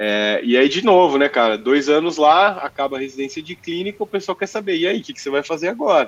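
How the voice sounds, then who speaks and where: This man has an unremarkable speaking voice, pitched fairly high, with lively intonation. He talks at a fairly quick pace with hardly any pauses. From Brazil, Mococa (São Paulo state). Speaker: physician and tech business lead. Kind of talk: casual interview chat.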